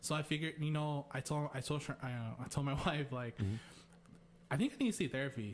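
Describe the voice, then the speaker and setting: Talking at a very fast pace with an American accent, a man uses a fairly high, somewhat breathy voice with ordinary pitch variation. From US, Mexican American. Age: 30s. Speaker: nurse. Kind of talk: casual conversation.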